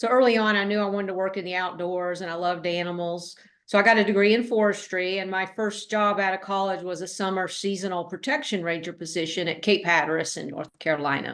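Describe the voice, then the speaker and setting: Over a quiet background, a woman with a Tennessee accent talks at a very fast pace with hardly any pauses, using a medium pitch and fairly even intonation. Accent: Southern US (Tennessee). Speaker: author and former park ranger. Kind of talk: interview.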